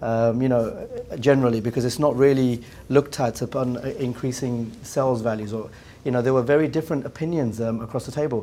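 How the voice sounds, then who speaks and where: A man with an English accent, a dark, mellow tone and medium pitch, speaking at a very fast pace with fairly even intonation. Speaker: business executive. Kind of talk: round table discussion. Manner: halting, many repetitions.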